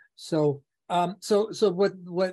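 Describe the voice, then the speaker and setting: This man speaks with an American accent and a dark, mellow tone. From New York City. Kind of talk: casual interview conversation.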